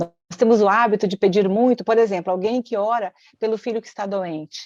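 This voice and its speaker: The tone is dark and mellow, with ordinary pitch variation at a moderate pace. The sound is dry and close, with no echo. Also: woman. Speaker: therapist. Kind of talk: casual chat. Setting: livestream.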